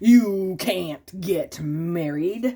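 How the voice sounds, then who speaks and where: This is a put-on character voice that sounds female. It sits at a medium pitch for a woman. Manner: scary.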